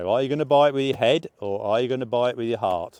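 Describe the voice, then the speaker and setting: Speaking in an English accent, a man uses a medium pitch with ordinary pitch variation. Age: 60s. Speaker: motorcycle vlogger. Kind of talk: casual vlog review. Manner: hesitant, many fillers.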